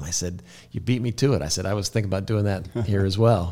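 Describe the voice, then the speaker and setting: A man speaks in a fairly low pitch with an American accent, at a fairly quick pace. His tone is dark and mellow, and somewhat breathy. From Kansas. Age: 50s. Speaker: real estate broker. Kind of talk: interview. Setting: studio.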